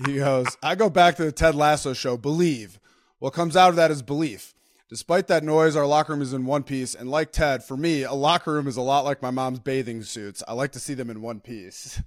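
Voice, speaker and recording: An ordinary speaking voice from a man with an American accent, fairly high in pitch, fairly quick, with ordinary pitch variation, on a very clean recording with a silent background. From Minnesota. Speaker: former NFL player, podcast co-host. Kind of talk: casual chat.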